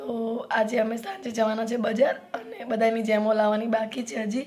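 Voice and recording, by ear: A woman's fairly high voice, slightly mellow in tone, at a moderate pace with ordinary pitch variation.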